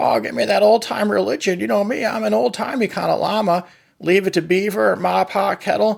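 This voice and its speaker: Pitched high, a man rattles along at a fairly quick pace in a cartoonish character voice. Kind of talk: comedic puppet talk show on politics and environment. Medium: puppet. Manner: funny, folksy.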